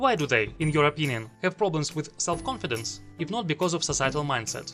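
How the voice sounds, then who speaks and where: Music runs in the background as a man talks at a fairly quick pace. He has a non-native accent. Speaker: video essayist. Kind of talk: argumentative video essay commentary.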